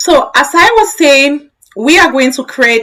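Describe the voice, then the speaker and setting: A woman's bright, sharp voice. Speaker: tech educator. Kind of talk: live-stream tutorial. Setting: live stream.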